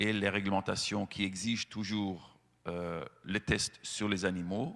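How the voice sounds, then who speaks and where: Speaking very slowly, a man uses a fairly low pitch and fairly even intonation. The recording is very clean, with a silent background. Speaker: animal-rights association representative. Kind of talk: speech to lawmakers. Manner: hesitant, many fillers.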